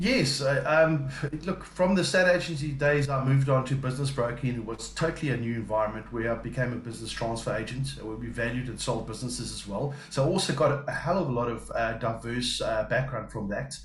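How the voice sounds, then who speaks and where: A man talks at a fairly quick pace with hardly any pauses, medium pitch and ordinary pitch variation. Noticeable background noise and audible room echo are present. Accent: South African. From South Africa. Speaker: business development and account manager. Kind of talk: interview. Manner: halting, many fillers.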